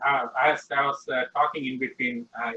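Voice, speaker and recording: A man's fairly high voice with lively intonation, in an Indian accent. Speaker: class participant. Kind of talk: Q&A question. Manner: hesitant, repeating words.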